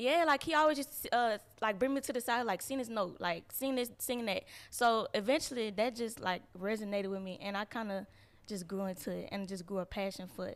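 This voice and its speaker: A woman with a fairly high pitch and ordinary pitch variation at a fairly quick pace, on a very clean recording with a silent background. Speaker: R&B / neo soul singer. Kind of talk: casual interview.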